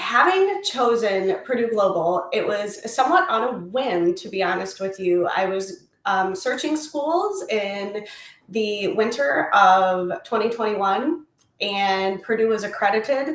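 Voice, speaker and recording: Speaking at a fairly slow pace with lively intonation, a woman with an American accent and a medium pitch sounds through audible room echo. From Indiana, US Midwest. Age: 30s. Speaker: college student. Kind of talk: interview.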